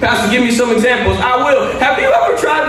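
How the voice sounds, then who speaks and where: A man talks at an extremely high pitch with ordinary pitch variation. Audible room echo and light background noise surround him. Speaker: pastor. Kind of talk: sermon. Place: church. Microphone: podium.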